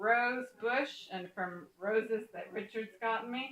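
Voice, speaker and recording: Speaking very slowly, a woman with a fairly high voice uses ordinary pitch variation. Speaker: soap making teacher. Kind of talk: tutorial. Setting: in a home kitchen.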